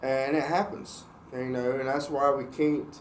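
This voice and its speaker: Speaking at a fairly slow pace, a man with a fairly high pitch is heard with audible room echo. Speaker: church podcast host. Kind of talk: casual faith discussion.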